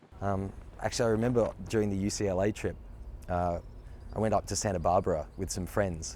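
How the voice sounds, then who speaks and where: The speaker has an Australian accent and a dark, mellow tone, moving at a fairly quick pace. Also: man. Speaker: actor. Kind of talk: interview.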